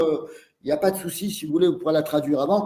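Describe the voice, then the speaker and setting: Amid audible room echo, a man speaks at a fairly quick pace with ordinary pitch variation. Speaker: osteopath and teacher. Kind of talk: lecture via interpreter. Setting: webinar video call. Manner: halting.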